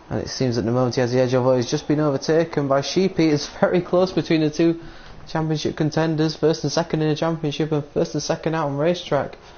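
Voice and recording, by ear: A man talks fast with a fairly high pitch, little pitch movement and a slightly mellow tone.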